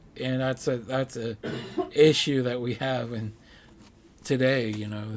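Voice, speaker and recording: A man mumbles at a fairly slow pace. His medium-pitched delivery is monotone and flat. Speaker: gaming streamer. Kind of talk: casual chat. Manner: mumbling.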